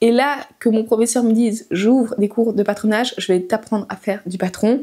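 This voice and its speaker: The woman's voice has a dark, mellow tone and fairly even intonation. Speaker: sewing pattern designer, channel owner. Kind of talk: casual vlog talk to camera.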